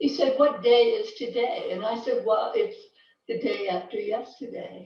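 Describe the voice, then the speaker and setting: A woman's high voice at a moderate pace, with very wide pitch swings and audible room echo. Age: 70s. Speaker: club member performing in talent show. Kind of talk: comedic monologue. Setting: video call.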